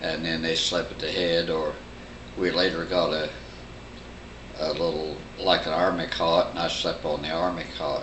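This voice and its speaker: Over noticeable background noise, a man with a Midwestern American accent speaks in a very deep, low pitch. His intonation is monotone and flat, with long, frequent pauses. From Bloomington, Indiana area. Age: 80s+. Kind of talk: family oral history interview answer. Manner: slow, conversational, hesitant.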